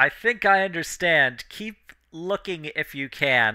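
This man puts on a character voice, pitched high with lively intonation. His pace is fairly slow. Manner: concerned, checking in.

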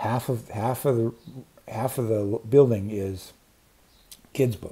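Dark, mellow tone from a man with an American accent, fairly low pitch, somewhat breathy, fairly even intonation and a fairly slow pace. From US Pacific Northwest. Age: 60s. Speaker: booktube creator. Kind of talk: casual vlog monologue. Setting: outdoors on a patio. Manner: rambling, many fillers. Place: home room. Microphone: earbuds.

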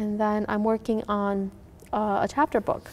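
A woman speaks in a fairly high pitch, her intonation flat and monotone. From Minnesota, US (Hmong refugee family). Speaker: author. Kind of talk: interview. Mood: warm, reflective. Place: studio.

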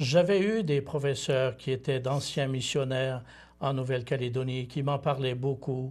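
A man speaks at a fairly slow pace with a somewhat breathy voice and fairly even intonation. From Quebec, Bas-Saint-Laurent (Témiscouata); Quebec. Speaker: seminarian, former missionary; priest or missionary guest. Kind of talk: interview. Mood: calm, reflective. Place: studio. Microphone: lapel.

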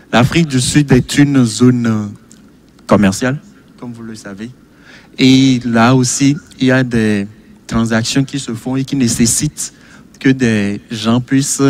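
Against light background noise, a man with a medium pitch talks at a very slow pace with long, frequent pauses and fairly even intonation, the sound dry with no echo. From Togo. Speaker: medical doctor; TV guest. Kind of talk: televised panel debate. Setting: studio. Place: studio. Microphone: studio mic.

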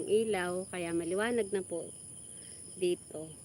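With a medium pitch and ordinary pitch variation, a woman speaks at a moderate speed. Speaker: vlogger. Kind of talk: casual livestream chat.

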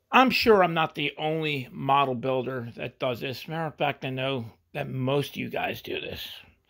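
Speaking with an American accent, a man keeps a moderate pace and ordinary pitch variation over a quiet background. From Pennsylvania, USA. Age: 60s. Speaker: hobby model car builder. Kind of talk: casual talk to camera. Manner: casual, halting. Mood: relaxed, self-deprecating. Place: workshop. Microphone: phone near.

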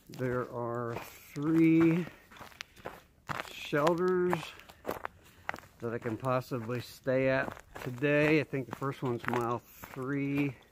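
Over noticeable background noise, a man talks at a very slow pace with long, frequent pauses and ordinary pitch variation, the sound dry with no echo. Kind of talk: casual vlog chat. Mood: calm, matter-of-fact. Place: forest. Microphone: phone near.

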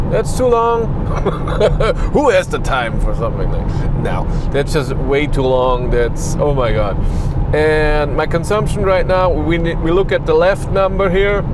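Amid loud background noise, a man talks at a fairly slow pace in a dry sound with no echo. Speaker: car reviewer driving. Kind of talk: casual vlog chat. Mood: relaxed, lightly amused. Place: car.

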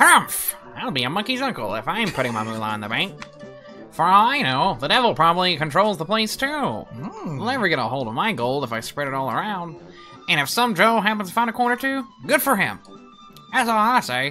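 A put-on character voice at a middle pitch moves at a fairly quick pace with very wide pitch swings over clear music in the background.

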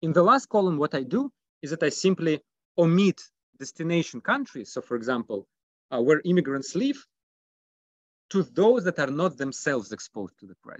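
With a quiet background and a dry sound with no echo, a man at a fairly high pitch talks at a fairly quick pace, with very wide pitch swings, big swings in loudness and long, frequent pauses. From Russia. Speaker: economics PhD candidate; candidate. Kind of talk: academic presentation. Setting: video call. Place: home room. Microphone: video call.

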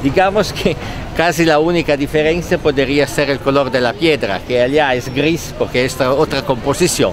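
With an Italian accent, a man talks at a moderate pace in a fairly high pitch with ordinary pitch variation and very even loudness, the sound dry with no echo and faint music in the background. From Italy. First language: Italian (speaking Spanish). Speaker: visitor at a museum site. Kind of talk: casual spoken comment. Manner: halting, mixing Spanish and Italian. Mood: cheerful, smiling. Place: street. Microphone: phone near.

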